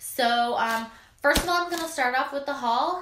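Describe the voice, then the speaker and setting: A woman talks at a fairly quick pace with ordinary pitch variation. Light background noise and audible room echo are present. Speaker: lifestyle blogger. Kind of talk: casual vlog chat.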